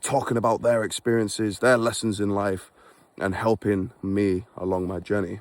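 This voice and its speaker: Captured in a very clean recording with a silent background, a man with a Yorkshire accent speaks at a moderate pace and a fairly low pitch. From England (Beverley, Yorkshire). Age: 20s. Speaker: vlogger and forex trader. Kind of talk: casual vlog monologue. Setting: outdoors on a walk in snow. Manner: unscripted, conversational.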